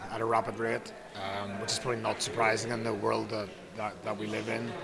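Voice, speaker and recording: A man talks over noticeable background noise. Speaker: rugby coach. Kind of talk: interview.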